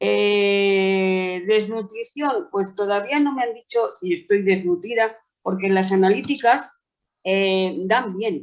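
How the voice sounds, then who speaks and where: Very slow, medium-pitched speech from a woman, with ordinary pitch variation. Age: 70s. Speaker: patient with COPD. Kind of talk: webinar question. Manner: halting.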